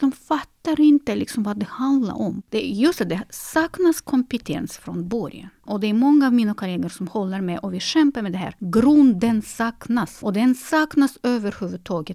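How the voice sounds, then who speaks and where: A woman's fairly high, somewhat breathy voice with a dark, mellow tone, lively intonation and a moderate pace, dry and close with no echo. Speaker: concert pianist and piano teacher. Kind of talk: interview. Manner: halting, frequent repetitions.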